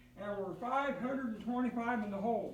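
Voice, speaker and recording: Amid audible room echo, a man speaks at an extremely high pitch with ordinary pitch variation and a moderate pace. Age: 70s. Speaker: craps player vlogger. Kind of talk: live play-by-play commentary while gambling. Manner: casual, conversational.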